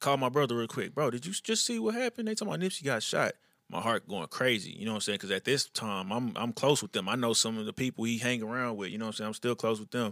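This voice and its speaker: Very fast man's voice in a Houston accent, medium pitch, ordinary pitch variation and hardly any pauses, on a very clean recording with a silent background. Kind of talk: casual interview.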